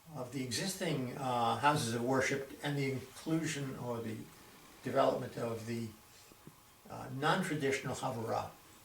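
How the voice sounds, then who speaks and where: A man speaks at a medium pitch in an American accent. Noticeable background noise runs underneath. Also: ordinary pitch variation, moderate pace. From Boston, Massachusetts. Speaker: retired doctor. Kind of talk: oral history interview answer.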